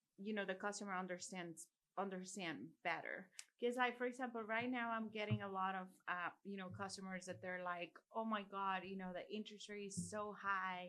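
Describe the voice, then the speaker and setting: A woman with a Mexican accent talks at a fairly quick pace and medium pitch. Her tone is bright and sharp, with fairly even intonation. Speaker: podcast host and mortgage loan professional. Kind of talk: casual chat.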